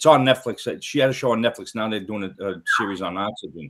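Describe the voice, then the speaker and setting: Ordinary pitch variation runs through this man's speech, delivered with a Brooklyn accent. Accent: New York (Brooklyn). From New York City, Brooklyn. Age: 60s. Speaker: retired homicide detective, paranormal TV investigator. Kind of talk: casual interview chat.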